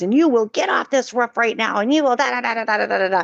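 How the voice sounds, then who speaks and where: A woman's put-on character voice, fairly high in pitch and very fast, with a dry, close sound and no echo. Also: ordinary pitch variation. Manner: stern, scolding, commanding.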